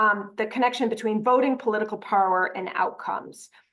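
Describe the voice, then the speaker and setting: In a normal speaking voice, a woman speaks at a fairly high pitch and moderate pace with ordinary pitch variation. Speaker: presenter at a voter training. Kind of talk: training presentation.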